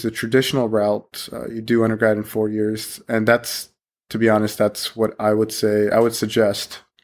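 In a very clean recording with a silent background, a man with an American accent talks at a moderate pace, his medium-pitched voice monotone and flat. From Pakistan, then Ohio from age eleven. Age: 20s. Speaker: medical resident. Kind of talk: casual interview chat.

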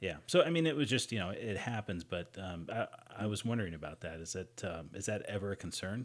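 With an American accent, a man has an unremarkable speaking voice, a fairly low pitch, lively intonation and a fairly quick pace. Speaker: podcast host. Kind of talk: casual interview chat.

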